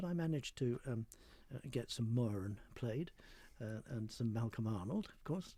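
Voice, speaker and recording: Dark, mellow male tone, somewhat breathy, with lively intonation. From North London, England. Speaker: conductor. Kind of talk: interview. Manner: hesitant, with fillers and repeats.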